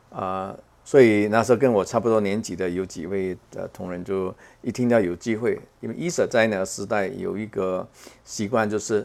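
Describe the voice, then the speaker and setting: Speaking at a moderate pace, a man with a fairly low pitch shows ordinary pitch variation. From Macau. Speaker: space scientist, professor. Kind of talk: interview. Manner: halting, many fillers.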